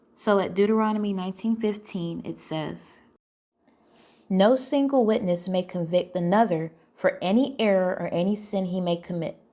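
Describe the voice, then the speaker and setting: A woman's voice has a dark, mellow tone, ordinary pitch variation and a moderate pace. The recording is very clean, with a silent background. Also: medium pitch for a woman. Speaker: teacher of young adults; ex-Jehovah's Witness commentator. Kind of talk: podcast-style commentary. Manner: some stuttering.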